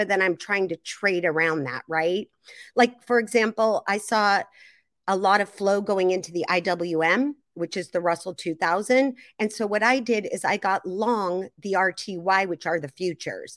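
With a plain, everyday voice and an American accent, a woman speaks at a moderate pace and medium pitch with ordinary pitch variation, the sound dry and close with no echo. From US Pacific Northwest, Seattle area. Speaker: retail investor and trader. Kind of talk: interview.

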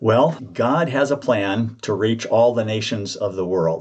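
Using an ordinary speaking voice, a man talks at a moderate pace in a medium pitch with ordinary pitch variation. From US South, central Georgia. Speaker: retired seminary professor and author. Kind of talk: interview.

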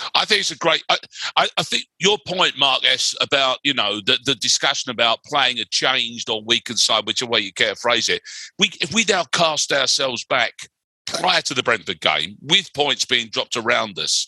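With a London accent and a medium pitch, a man's bright, sharp voice makes very wide pitch swings, the sound dry and close with no echo. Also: moderate pace. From West London. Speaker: writer and broadcaster. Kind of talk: casual chat.

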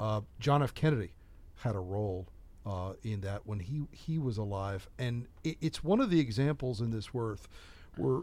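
Lively in intonation, a man with an American accent and a plain, everyday voice speaks at a medium pitch and moderate pace in a very clean recording with a silent background. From United States. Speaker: TV journalist and podcast host. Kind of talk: interview. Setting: studio.

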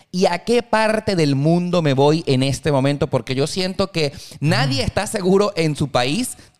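A man with an unremarkable speaking voice talks at a fairly high pitch and a fairly slow pace. His intonation is lively while his loudness stays very even. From Venezuela (Valencia). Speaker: podcast host. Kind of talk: casual chat.

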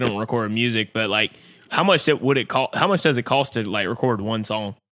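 Very fast speech in a Southern US accent, with a bright, sharp tone and ordinary pitch variation. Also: man. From US Southeast. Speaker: podcast host. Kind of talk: casual chat.

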